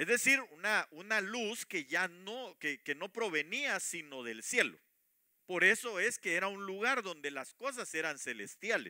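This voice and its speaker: In a raised, projected voice with a bright, sharp tone, a man speaks at a high pitch and a fairly slow pace, his pitch swinging very widely, on a very clean recording with a silent background. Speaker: preacher. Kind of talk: sermon. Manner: halting, many fillers.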